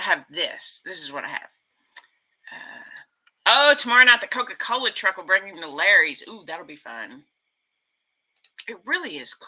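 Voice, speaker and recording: Speaking at a moderate pace, a woman with an American accent uses an animated tone. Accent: Texas accent, commented on a lot. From Texas. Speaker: YouTube vlogger. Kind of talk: casual live stream chat.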